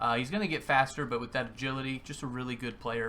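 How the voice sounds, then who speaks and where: Bright and sharp in tone, a man speaks at a medium pitch with fairly even intonation. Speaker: gaming YouTuber. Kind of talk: gameplay commentary.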